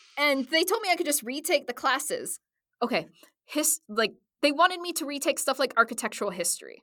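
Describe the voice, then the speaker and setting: In a very clean recording with a silent background, a woman with an American accent projects a raised, high-pitched voice with a bright, sharp tone, a fairly quick pace and very wide pitch swings. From US Midwest. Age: 30s. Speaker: voice actor and cosplayer. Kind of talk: casual chat. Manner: animated, joking.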